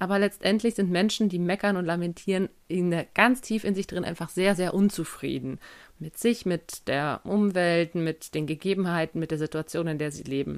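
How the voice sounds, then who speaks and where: A plain, everyday voice from a woman, fairly low in pitch with ordinary variation, at a moderate pace on a very clean recording with a silent background. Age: 20s. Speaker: podcast host. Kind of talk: solo podcast Q&A monologue. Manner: casual.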